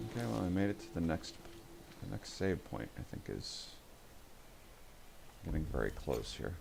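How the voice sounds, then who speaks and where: A man's very deep, low-pitched mumbling with vocal fry, very wide pitch swings, a moderate pace, and long, frequent pauses. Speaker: video game streamer. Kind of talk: live gameplay commentary.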